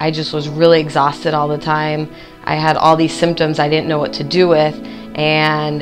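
A woman speaks in a very deep, low pitch. Her intonation is monotone and flat, with clear music in the background. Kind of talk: interview answer. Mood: warm, grateful. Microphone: lapel.

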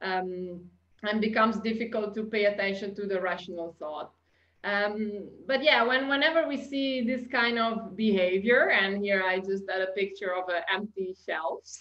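Someone with an Italian accent speaks at a moderate pace with ordinary pitch variation, with audible room echo and a quiet background. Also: woman, medium pitch for a woman. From Italy. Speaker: customer experience consultant. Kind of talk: webinar presentation. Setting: video call. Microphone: webcam.

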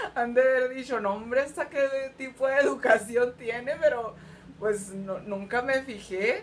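Over light background noise, a woman with a high pitch talks at a fairly slow pace. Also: ordinary pitch variation. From Mexico. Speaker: vlogger. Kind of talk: casual vlog monologue. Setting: recording on an iPad at home. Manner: animated, laughing often; spontaneous, unrehearsed. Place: home room. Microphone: webcam.

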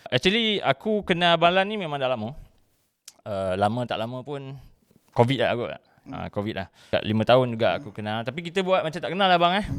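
At a fairly quick pace, a man speaks in a fairly high pitch with very wide pitch swings and big swings in loudness. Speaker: podcast host. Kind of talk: casual chat.

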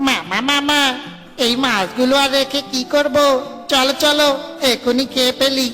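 A cartoonish character voice talks at a moderate pace. Clear music plays in the background. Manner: whiny, excitable.

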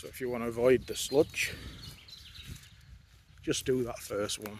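The man's pitch moves little as he speaks at a moderate pace.

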